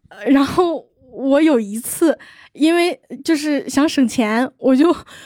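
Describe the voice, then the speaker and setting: Her voice high in pitch, a woman speaks at a fairly slow pace with lively intonation. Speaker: audience member. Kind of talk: casual chat.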